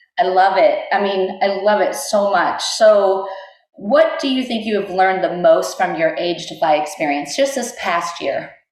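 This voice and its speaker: With an ordinary speaking voice, a woman talks at a moderate pace and medium pitch, her intonation lively. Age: 40s. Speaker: podcast host. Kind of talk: podcast interview questions.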